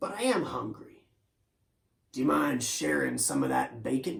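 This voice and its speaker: A raspy put-on character voice moves at a moderate pace with very wide pitch swings. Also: man, fairly low pitch for a man. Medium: read story.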